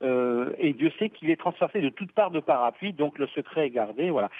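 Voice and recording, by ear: A man talks at a fairly quick pace with lively intonation. The sound is dry and close, with no echo.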